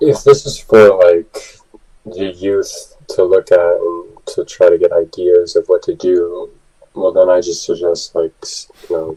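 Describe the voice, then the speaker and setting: The tone is relaxed and the pace fairly slow. The sound is dry and close, with no echo. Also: man. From Quebec, Canada (Farm Point village). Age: 20s. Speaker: guest, works in casting/performing. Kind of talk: interview. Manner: casual, relaxed.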